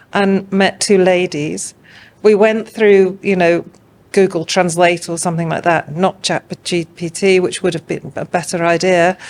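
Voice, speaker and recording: A woman speaks at a fairly slow pace. Her medium-pitched voice stays monotone and flat. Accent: English. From England. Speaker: art curator. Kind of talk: podcast interview. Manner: hesitant, many fillers.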